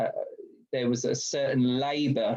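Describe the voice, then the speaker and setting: This man talks with a British accent at medium pitch, his tone dark and mellow. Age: 30s. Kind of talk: webinar talk. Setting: video call.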